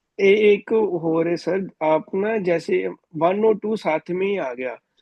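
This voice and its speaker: A man talks with a Punjabi accent. His pitch is high. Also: ordinary pitch variation. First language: Punjabi (speaking Hindi). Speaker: student. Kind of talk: class question.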